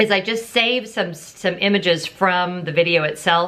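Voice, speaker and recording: Ordinary pitch variation marks this woman's speech at a moderate pace. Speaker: YouTube vlogger. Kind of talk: casual vlog. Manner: loud.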